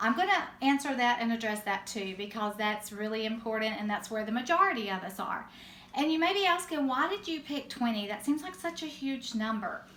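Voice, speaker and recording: Audible room echo colors a woman's fairly high-pitched voice. She talks at a fairly quick pace with a Southern US accent. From US South. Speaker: direct sales team leader. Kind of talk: training talk.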